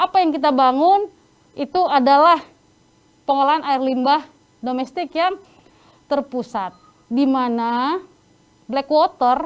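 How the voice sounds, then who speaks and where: The speaker is a woman. Her pitch is high. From North Sumatra, Indonesia. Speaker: sanitation trainer. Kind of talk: online training lecture.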